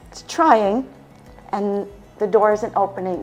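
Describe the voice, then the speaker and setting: A woman with an American accent, music in the background. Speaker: lifestyle medicine practitioner. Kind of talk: health education presentation.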